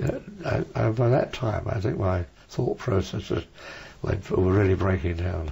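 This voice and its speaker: A man with a very deep, low pitch talks with lively intonation at a moderate pace while noticeable background noise carries on. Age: 80s+. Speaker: war veteran, former Spitfire pilot. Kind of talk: interview answer.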